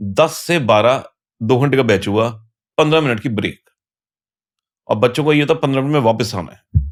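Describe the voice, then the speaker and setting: The speech shows ordinary pitch variation in a very clean recording with a silent background. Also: man. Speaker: tax educator. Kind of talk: casual interview.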